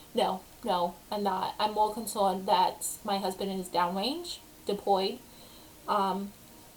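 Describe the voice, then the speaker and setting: The woman's words come very slowly, her medium pitch and fairly even intonation set against noticeable background noise. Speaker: vlogger. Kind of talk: casual chat. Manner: hesitant, many ums.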